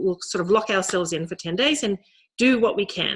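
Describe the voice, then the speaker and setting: Using lively intonation, a woman at medium pitch talks with an Australian accent. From rural Australia. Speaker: novelist. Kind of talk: author talk. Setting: video call. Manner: halting.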